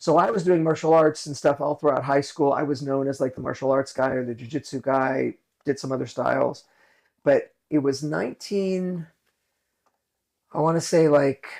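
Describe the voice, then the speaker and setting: Over a quiet background, a man speaks at a moderate pace in a fairly high pitch, his pitch varying in an ordinary way. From US West Coast, Los Angeles. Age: 60s. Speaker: martial arts instructor. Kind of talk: interview storytelling. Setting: studio office.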